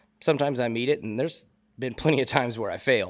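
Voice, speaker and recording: The recording is very clean and the background silent. This man talks very fast, his pitch varying in an ordinary way. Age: 30s. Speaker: DJ and sound engineer. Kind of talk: casual chat. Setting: bar lounge.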